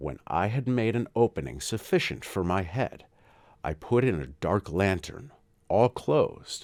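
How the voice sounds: The speaker reads in a natural reading voice.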